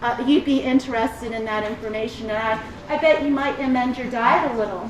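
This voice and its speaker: With ordinary pitch variation and a moderate pace, a woman's voice comes through with audible room echo and noticeable background noise. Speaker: extension specialist in agricultural marketing. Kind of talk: conference presentation. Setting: stage with audience. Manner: animated.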